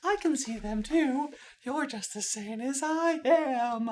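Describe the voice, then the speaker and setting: A female-sounding voice performs a put-on character voice at a high pitch. The pace is fairly slow. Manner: impression voice.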